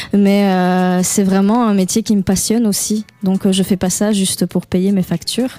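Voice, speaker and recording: A woman speaks at a medium pitch and a fairly slow pace, with hardly any pauses. Her loudness stays very even, her intonation is monotone and flat, and there is noticeable background noise. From Belgium, Liège. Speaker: singer-songwriter and pianist. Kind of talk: radio interview. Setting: radio studio. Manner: hesitant, many fillers.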